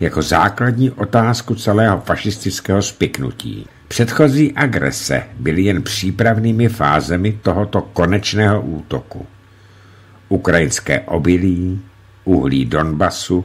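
Very wide pitch swings mark a man's very deep, low voice at a fairly slow pace. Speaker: narrator reading a book. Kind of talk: reading aloud from a book. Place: studio. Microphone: studio mic.

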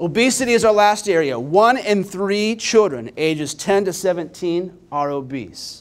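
A man with a Midwestern American accent talks at a high pitch and a fairly slow pace, with lively intonation and hardly any pauses. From Indiana, Richmond; Indiana. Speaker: nonprofit data executive; presenter. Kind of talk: conference presentation. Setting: stage with audience. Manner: energetic. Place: hall. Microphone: handheld.

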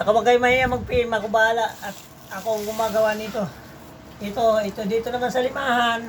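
Over noticeable background noise, a woman talks at a very fast pace and fairly high pitch. Her intonation stays monotone and flat. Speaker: live online seller and cup maker. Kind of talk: street-seller style sales pitch, live-selling promo with a rapid hard sell. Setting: live stream to viewers online. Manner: hyped, boastful, chatty with viewers.

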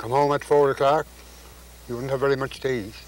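Noticeable background noise accompanies a man at medium pitch. He speaks at a very fast pace with fairly even intonation. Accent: Newfoundland. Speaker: farmer. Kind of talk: interview answer.

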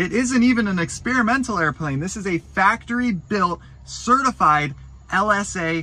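A man's raised, projected voice with a bright, sharp tone, lively intonation, a moderate pace and a dry sound with no echo. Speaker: aviation vlogger. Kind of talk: casual vlog chat. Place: open country. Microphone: phone near.

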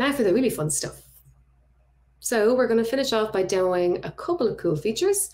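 A woman's fairly high, dark and mellow voice with very wide pitch swings, a fairly quick pace and a quiet background. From Ireland, Dublin. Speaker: front-end web developer, conference speaker. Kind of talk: conference tech talk with live code demo. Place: home room.

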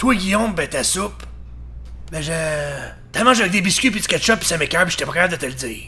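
A put-on character voice at a very fast pace, broken by long, frequent pauses, over clear background noise. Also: man, high pitch for a man. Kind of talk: comic parody dub. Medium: fan dub. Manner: hesitant, awkward, then bluntly frank.

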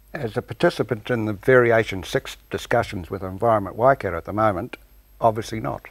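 A man's fairly low voice at a fairly quick pace, ordinary pitch variation, dry sound with no echo, and a quiet background. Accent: New Zealand. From New Zealand. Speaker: dairy farmer and cooperative shareholder council member. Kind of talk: TV panel discussion. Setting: TV studio. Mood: jovial, wry. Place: studio. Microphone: lapel.

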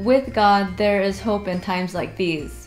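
Over faint music in the background, a woman speaks at a fairly slow pace with fairly even intonation. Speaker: church service host. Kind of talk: scripted welcome announcement. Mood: warm, gentle. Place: home room.

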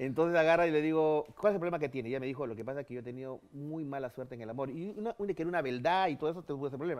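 A man speaks very fast with hardly any pauses. His pitch is fairly high, with ordinary variation. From Peru. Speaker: ufologist and radio host; radio host. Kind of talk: interview, storytelling. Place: studio.

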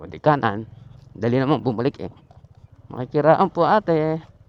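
With a Batangas accent, a man speaks at a moderate pace in an animated tone, with lively intonation and a fairly high pitch. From Batangas, Philippines. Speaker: motorcycle vlogger. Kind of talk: casual vlog narration. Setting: outdoors riding a motorcycle.

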